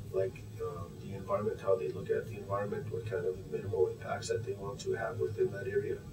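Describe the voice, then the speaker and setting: A man at a very fast pace with hardly any pauses, amid audible room echo and noticeable background noise. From northern Alberta, Canada (Cree First Nation). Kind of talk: interview. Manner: casual with frequent fillers.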